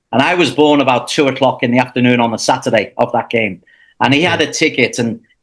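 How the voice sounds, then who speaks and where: The speaker talks with a Liverpool accent. The recording is very clean, with a silent background. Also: man. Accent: Liverpool English (Scouse). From England, Liverpool. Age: 60s. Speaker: football commentator. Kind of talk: casual interview. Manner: halting, many restarts.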